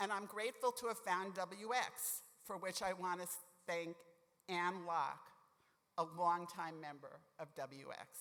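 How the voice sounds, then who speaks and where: This woman talks at a fairly slow pace with ordinary pitch variation, leaving long, frequent pauses. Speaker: lawyer, award honoree. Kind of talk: award acceptance speech. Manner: formal.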